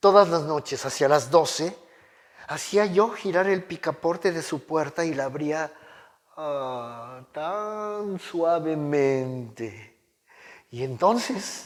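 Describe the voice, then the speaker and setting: The speaker goes at a very slow pace with lively intonation. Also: man. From Mexico. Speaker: oral storyteller. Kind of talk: dramatic story reading aloud.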